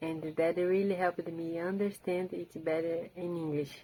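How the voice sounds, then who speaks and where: In a Portuguese accent, a woman talks at a moderate pace with a fairly low pitch and monotone, flat intonation. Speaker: language learner and book video creator. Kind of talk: rehearsed book summary talk. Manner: halting, with repeated words and restarts.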